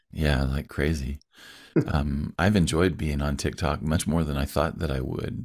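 This man has a very deep, low pitch with vocal fry. He talks at a fairly slow pace with fairly even intonation. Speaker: podcast host. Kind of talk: casual interview conversation.

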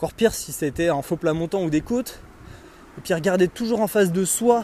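Noticeable background noise sits behind a man talking at a moderate pace. His pitch is high, and his intonation is lively. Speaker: podcaster and trail runner. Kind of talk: solo monologue podcast. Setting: outdoors on a walk. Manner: hesitant, many fillers; casual, conversational.

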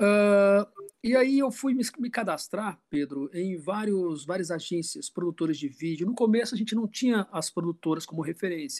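A man speaks at a high pitch with lively intonation and a moderate pace. The sound is dry and close, with no echo. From Brazil, grew up moving between Rio, Belo Horizonte and Natal. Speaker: film director, actor and acting teacher. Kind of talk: casual interview chat.

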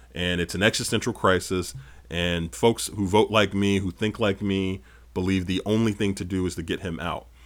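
A man with a plain, everyday voice speaks at a moderate pace in a fairly low pitch, with ordinary pitch variation, on a very clean recording with a silent background. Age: 30s. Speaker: political podcast host and strategist. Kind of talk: solo political commentary.

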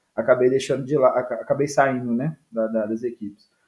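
Moderate tempo and ordinary pitch movement from a male speaker. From Brazil, Minas Gerais (Viçosa). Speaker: futsal coach and author. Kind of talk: casual interview. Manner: halting, repeats words.

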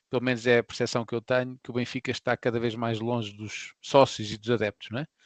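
In an ordinary speaking voice, a man of medium pitch talks at a fairly quick pace, with a dry, close sound with no echo and a quiet background. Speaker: football podcast co-host. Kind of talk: casual chat.

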